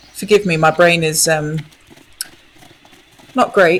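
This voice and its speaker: A woman with a fairly low pitch talks at a fairly slow pace and with fairly even intonation. Noticeable background noise can be heard. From southern England, Essex. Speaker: game streamer. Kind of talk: casual chat. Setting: live stream.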